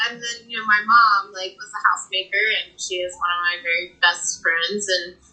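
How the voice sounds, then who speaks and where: A woman with an American accent uses a normal speaking voice at medium pitch and a moderate pace. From Texas Panhandle (Amarillo/Canyon). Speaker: guest with spinal cord injury. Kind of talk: podcast interview.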